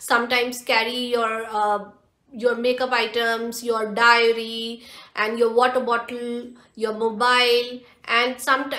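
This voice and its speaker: With a bright, sharp tone and a high pitch, a woman speaks against a quiet background with audible room echo. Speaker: lifestyle vlogger. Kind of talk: haul video chat. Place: home room.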